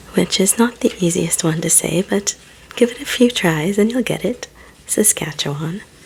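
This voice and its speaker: The speaker is soft-spoken and keeps a moderate pace. Noticeable background noise can be heard. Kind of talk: ASMR reading and ramble.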